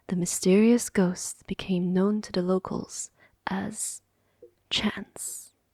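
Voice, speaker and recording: A woman is whispering. She is soft-spoken and somewhat breathy. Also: dry, close sound with no echo. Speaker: ASMR reader. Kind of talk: audiobook reading of a fantasy story, close-mic ASMR. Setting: close microphone. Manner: soft-spoken, ASMR whisper-like.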